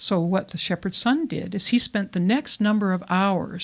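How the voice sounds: Ordinary pitch variation marks this clip. It is a natural reading voice.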